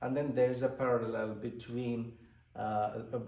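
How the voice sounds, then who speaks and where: A man with a Tamil accent at a medium pitch and moderate pace, with audible room echo and noticeable background noise. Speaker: author and translator. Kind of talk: interview. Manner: hesitant, many fillers.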